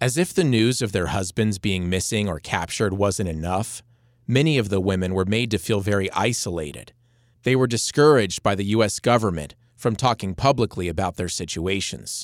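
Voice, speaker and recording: A man with a normal speaking voice talks at a fairly low pitch, varying it in an ordinary way. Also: moderate pace. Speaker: podcast host and narrator. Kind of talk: scripted narration.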